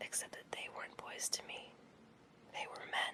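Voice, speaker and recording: The words are whispered at a moderate pace. Background noise is noticeable throughout. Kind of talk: memoir reading.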